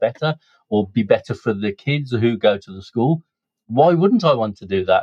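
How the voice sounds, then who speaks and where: Speaking at a fairly quick pace, a man talks in a Birmingham accent. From Birmingham, England. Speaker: businessman and community volunteer. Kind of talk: podcast interview.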